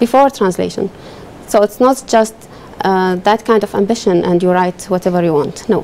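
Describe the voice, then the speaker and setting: With noticeable background noise behind her, a woman speaks in an Arabic accent at a medium pitch with ordinary pitch variation. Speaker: legal translator. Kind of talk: TV interview.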